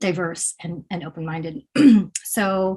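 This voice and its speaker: A somewhat breathy woman's voice at a medium pitch, with an American accent and ordinary pitch variation. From Pennsylvania, US. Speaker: poet. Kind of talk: interview.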